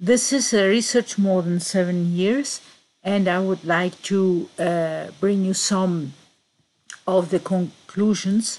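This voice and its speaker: The pace is very slow. Intonation remains fairly even throughout. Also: woman. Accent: Greek. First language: Greek. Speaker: conspiracy researcher. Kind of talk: presentation. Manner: halting.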